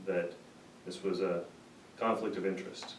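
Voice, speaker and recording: Against noticeable background noise and audible room echo, a man speaks with fairly even intonation. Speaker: small business owner. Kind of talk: speech.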